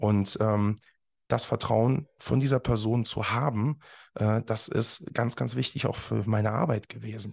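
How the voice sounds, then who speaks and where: Over a quiet background, a man talks at a medium pitch with vocal fry. His pace is fairly slow and his pitch varies in an ordinary way. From Germany, Eifel near Bitburg/Trier. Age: 30s. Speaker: professional speaker. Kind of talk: interview. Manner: frequent fillers, hesitant.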